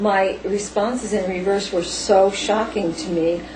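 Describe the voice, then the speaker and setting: A woman's very slow speech is heard with audible room echo and noticeable background noise. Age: 50s. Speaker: paranormal experiencer. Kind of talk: interview. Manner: halting.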